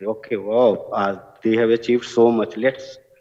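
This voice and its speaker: The speaker has a strong Bihari accent. The pace is fairly slow. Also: man. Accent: heavy Bihari. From India, Bihar (village). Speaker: award recipient, business school alumnus working with farmers. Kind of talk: award acceptance speech.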